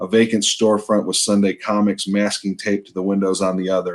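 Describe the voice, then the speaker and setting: A man with an American accent has an ordinary speaking voice, fairly low in pitch, and talks at a fairly quick pace. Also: very clean recording, silent background. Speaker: novelist, author. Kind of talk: author's reading of his own novel. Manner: measured, storytelling.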